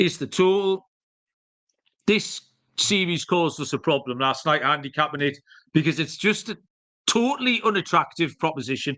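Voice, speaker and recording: Speaking in a bright, sharp tone with a strong Geordie accent, a man leaves long, frequent pauses. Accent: strong northeast English (Geordie). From northeast England, Newcastle. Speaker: sports betting podcast host. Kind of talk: solo podcast betting picks. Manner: casual, with many fillers.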